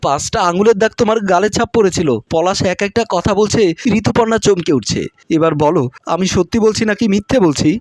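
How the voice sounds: Ordinary pitch movement in a natural-sounding reading of a text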